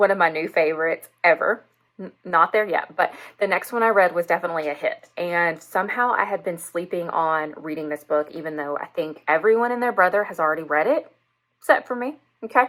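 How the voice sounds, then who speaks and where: A woman with a Southern US accent, fairly low pitch, ordinary pitch variation, and a fairly quick pace. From US South. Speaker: book reviewer and English teacher. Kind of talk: casual book review vlog. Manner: enthusiastic.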